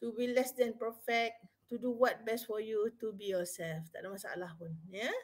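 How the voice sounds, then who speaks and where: A woman reads at a fairly slow pace in a fairly high pitch with ordinary pitch variation. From Malaysia. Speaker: university psychology officer and webinar speaker; webinar speaker. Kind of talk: live webinar talk. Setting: live online stream. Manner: casual, code-switching Malay-English. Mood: friendly, relaxed. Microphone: webcam.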